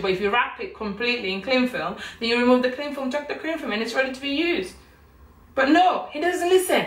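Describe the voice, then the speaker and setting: A woman speaks with a British accent at a high pitch. Audible room echo surrounds her voice. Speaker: vlogger. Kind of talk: casual vlog chat. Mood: playfully scolding, complaining. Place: kitchen. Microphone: camera far.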